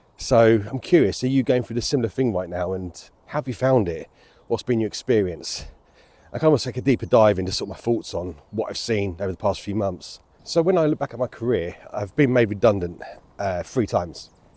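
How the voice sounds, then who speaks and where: A man's dark, mellow voice of medium pitch, fairly quick and lively in intonation, on a very clean recording with a silent background. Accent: British. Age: 40s. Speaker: vlogger. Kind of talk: personal vlog monologue. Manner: casual, hesitant with fillers.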